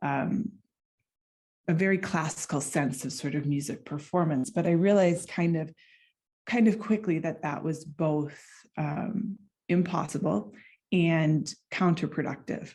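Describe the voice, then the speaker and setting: A woman with an American accent, fairly low-pitched and somewhat breathy, with a dark, mellow tone, a fairly slow pace and ordinary pitch variation. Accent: American accent, noticeable to Finns. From United States. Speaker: clarinetist and doctoral researcher. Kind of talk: conference presentation.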